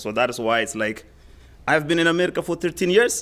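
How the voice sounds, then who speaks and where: On a very clean recording with a silent background, a man with a Somali accent speaks with ordinary pitch variation. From Somalia. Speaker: school community liaison. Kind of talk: public testimony at a meeting. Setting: school board meeting. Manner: loud.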